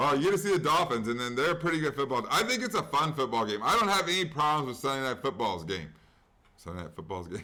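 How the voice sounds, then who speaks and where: Speech comes at a very fast pace with very wide pitch swings. The tone is bright and sharp, with vocal fry. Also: man, fairly high pitch for a man. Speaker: sports betting podcast host. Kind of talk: casual sports chat. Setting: at home.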